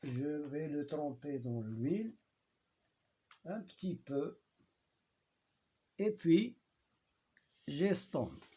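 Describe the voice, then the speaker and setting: A man with a strong Moroccan accent speaks at a very slow pace, leaving long, frequent pauses. His fairly high, somewhat breathy voice has a dark, mellow tone and lively intonation. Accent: Moroccan accent in French, heavy. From Morocco. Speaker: teacher. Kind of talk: tutorial. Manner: halting.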